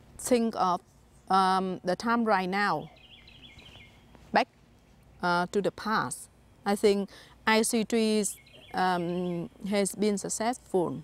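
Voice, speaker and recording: Speaking very slowly with long, frequent pauses, a woman with a Vietnamese accent uses a medium pitch and ordinary pitch variation in a dry, close sound with no echo. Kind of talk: interview. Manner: halting.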